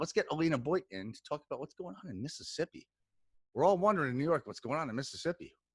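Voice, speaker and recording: A man with a fairly high voice talks very fast in an energetic, animated tone, with vocal fry, very wide pitch swings and big jumps in loudness. The recording is dry and close, with no echo. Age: 40s. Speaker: podcast host. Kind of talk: casual chat.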